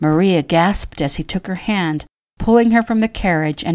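The speaker uses an unforced reading voice against a quiet background.

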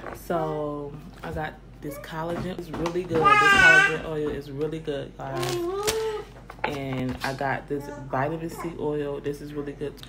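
A woman speaks over loud background noise. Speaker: vlogger. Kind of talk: casual vlog chat. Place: kitchen. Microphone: phone near.

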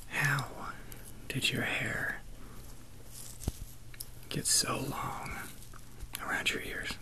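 A man whispers very slowly, pausing often and at length. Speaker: ASMR roleplay groomer. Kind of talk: ASMR roleplay personal attention, soft spoken talk to the listener. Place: home room. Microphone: earbuds.

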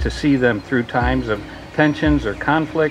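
Music sits in the background. The speech moves at a fairly slow pace. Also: man. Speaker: ceremony reader giving a blessing. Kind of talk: prayer reading at a wedding. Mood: warm, solemn. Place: garden. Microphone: podium.

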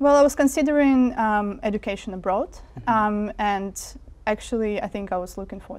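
A woman speaks with a Russian accent at a fairly quick pace. Her pitch is medium, with ordinary variation. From Siberia, Russia. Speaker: media researcher; interviewee. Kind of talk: interview. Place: studio. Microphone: lapel.

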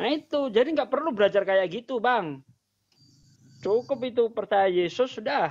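A man talks at a moderate pace with an extremely high pitch. His intonation is lively. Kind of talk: casual chat. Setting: livestream video call. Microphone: video call.

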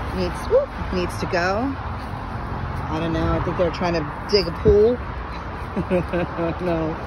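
Someone speaks at a very slow pace, the sound dry with no echo. Loud background noise runs throughout. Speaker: property walkthrough narrator. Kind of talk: casual walkthrough commentary. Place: garden. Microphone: phone near.

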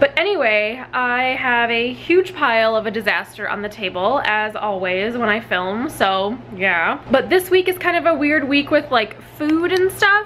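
A woman speaks at a high pitch with very wide pitch swings. Her pace is fairly slow, with light background noise. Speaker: vlogger. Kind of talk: casual vlog chat. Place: kitchen. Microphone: phone near.

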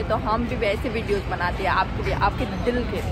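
The speech moves at a fairly slow pace with crowd noise in the background. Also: woman, dry sound with no echo. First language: not Hindi (speaking Hindi). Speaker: vlogger / social media creator; vlogger, social media creator. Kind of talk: casual vlog chat. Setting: outdoors, park / public place. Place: street. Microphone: phone near.

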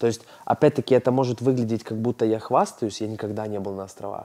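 A man speaks in a dark, mellow tone with fairly even intonation. The background is quiet. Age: 30s. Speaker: businessman and blogger; interview guest. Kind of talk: therapy session. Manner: hesitant with filler sounds. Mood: candid, reflective. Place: studio. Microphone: lapel.

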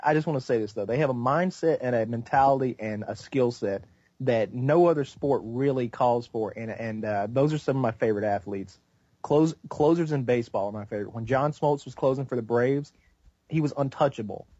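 Delivered at a fairly quick pace, a normal speaking voice carries ordinary pitch variation. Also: man, medium pitch for a man. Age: 20s. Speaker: gaming YouTuber. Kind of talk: casual chat.

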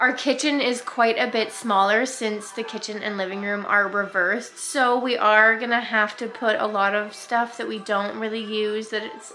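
With faint music in the background, a woman speaks at a moderate pace with hardly any pauses and fairly even intonation. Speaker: family vlogger. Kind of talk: casual vlog chat. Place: home room. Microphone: phone near.

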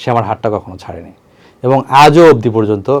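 An unremarkable speaking voice from a man at medium pitch with ordinary pitch variation. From Bangladesh, Bogura. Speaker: interviewee telling his love story. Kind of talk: personal testimony interview.

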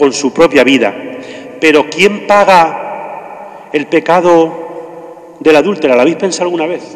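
Over faint background noise, a man talks at a fairly slow pace, his fairly high pitch showing ordinary variation.

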